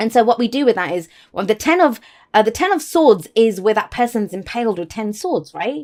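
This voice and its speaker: A woman speaks with a fairly high pitch and very wide pitch swings. The recording is very clean, and the background is silent. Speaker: tarot reader. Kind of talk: tarot reading. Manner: fast; faster than usual.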